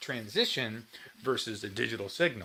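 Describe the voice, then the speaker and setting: Using a normal speaking voice, a man with a fairly low pitch talks at a moderate pace with ordinary pitch variation. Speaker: guitar livestream host. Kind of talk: casual livestream chat.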